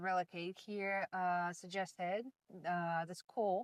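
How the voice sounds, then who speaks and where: Dry, close sound with no echo from a woman with a Russian accent at a fairly slow pace. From Russia, Moscow. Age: 30s. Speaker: language student. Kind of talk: interview. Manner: hesitant, many fillers.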